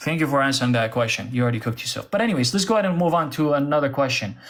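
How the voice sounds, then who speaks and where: Here a man speaks with an Arabic accent. His intonation is lively. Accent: Arab. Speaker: religious debater, apologist. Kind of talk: heated debate.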